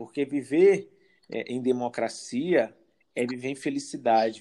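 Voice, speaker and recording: A man's fairly high-pitched voice, dark and mellow in tone, at a fairly slow pace. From Brazil, São Luís, Maranhão. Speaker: psychologist. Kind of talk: interview.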